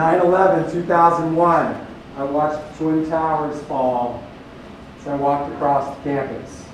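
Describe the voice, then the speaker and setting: Over noticeable background noise and audible room echo, a man speaks loudly at a fairly high pitch with fairly even intonation. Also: moderate pace. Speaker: company recruiter. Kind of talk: recruiting seminar talk.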